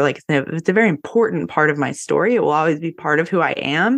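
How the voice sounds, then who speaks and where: In an American accent, a woman talks at a fairly quick pace with a very deep, low pitch and ordinary pitch variation. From North Carolina. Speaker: yoga teacher and astrologer. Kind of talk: casual interview chat.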